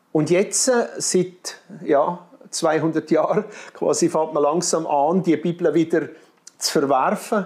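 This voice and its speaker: Very slowly, with long, frequent pauses, a man speaks in a Graubünden accent. His high-pitched voice holds a very even loudness and fairly even intonation. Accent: marked Graubünden Swiss German dialect. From Switzerland, Graubünden. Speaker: missionary. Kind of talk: interview. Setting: studio.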